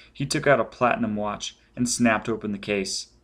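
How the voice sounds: Pitch varies in an ordinary way across this natural reading voice.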